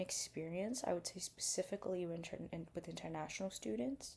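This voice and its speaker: This woman's voice is somewhat breathy. She talks fairly quickly. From India. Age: 20s. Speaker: vlogger. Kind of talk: casual vlog monologue. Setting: at home at night, getting ready for bed.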